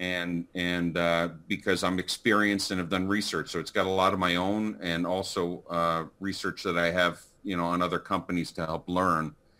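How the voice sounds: A man's low-pitched voice, bright and sharp in tone, with little pitch movement and few pauses. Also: moderate pace.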